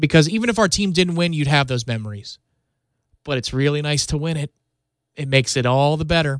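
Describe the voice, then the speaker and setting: A man with a fairly high pitch, animated tone and ordinary pitch variation, at a fairly quick pace with long, frequent pauses, against a quiet background. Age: 30s. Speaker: sports podcast host. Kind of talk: solo sports podcast monologue. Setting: radio studio.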